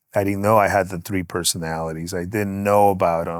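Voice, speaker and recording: A man with a Spanish accent speaks fairly quickly in a very deep, low, flat monotone, recorded very cleanly against a silent background. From Guatemala, moved to Los Angeles at nine. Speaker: music mixing engineer. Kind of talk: casual interview.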